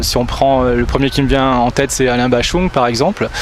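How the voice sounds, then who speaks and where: Noticeable background noise accompanies a man whose fairly high voice moves at a fairly quick clip. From Nice, southern France. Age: 50s. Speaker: singer-songwriter and English teacher. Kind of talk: interview. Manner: hesitant, many fillers.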